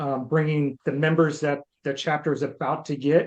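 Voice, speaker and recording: The speaker is a man with a fairly high pitch. He delivers every line in a monotone, flat way. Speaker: candidate, Air Force veteran and project management teacher. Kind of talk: self-introduction in online meeting. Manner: fast.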